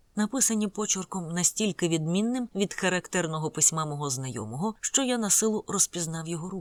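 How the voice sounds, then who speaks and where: A woman at a medium pitch speaks with lively intonation. The sound is dry and close with no echo, a very clean recording with a silent background. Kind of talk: audiobook narration. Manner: solemn, dramatic, slow measured reading with gloomy gothic intensity.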